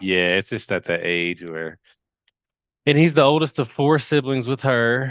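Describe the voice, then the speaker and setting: In a Kentucky accent, a man speaks at a fairly slow pace and medium pitch with very wide pitch swings over a quiet background. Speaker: hypnotherapy client. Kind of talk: casual chat. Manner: halting.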